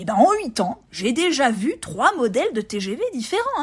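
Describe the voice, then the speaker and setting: A woman's high-pitched voice moves through very wide pitch swings over noticeable background noise. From France, Burgundy (Montbard). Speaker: travel podcaster. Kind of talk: solo podcast monologue. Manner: hesitant, many repetitions and fillers.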